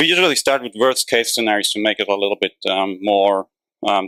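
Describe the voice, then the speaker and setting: On a very clean recording with a silent background, a man with a German accent has a bright, sharp tone at a fairly low pitch, the sound dry and close with no echo. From Germany. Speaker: PhD researcher. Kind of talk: conference talk. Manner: hesitant, many fillers.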